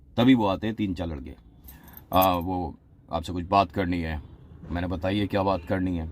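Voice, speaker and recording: A man is speaking. His voice has vocal fry. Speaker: radio jockey. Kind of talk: casual talk to camera. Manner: humorous storytelling.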